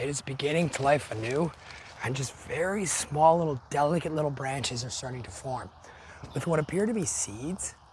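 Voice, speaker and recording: The voice carries lively intonation over noticeable background noise. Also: man. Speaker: nature photographer. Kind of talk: casual talk to camera. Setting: outdoors.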